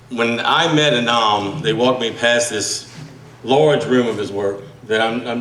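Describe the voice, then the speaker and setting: A man's medium-pitched voice with a strong Southern US accent, fairly slow pace and ordinary pitch variation, plus audible room echo and noticeable background noise. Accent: thick Southern US. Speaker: magazine editor and radio host, speaker at book launch. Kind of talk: speech at a book launch. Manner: halting, repeats words; trying to speak slowly.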